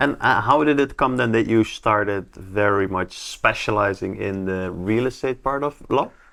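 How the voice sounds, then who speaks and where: In a Dutch accent, a man with a fairly low pitch and a bright, sharp tone talks at a moderate pace with ordinary pitch variation, recorded very cleanly over a silent background. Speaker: real estate agent, podcast host. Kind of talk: interview.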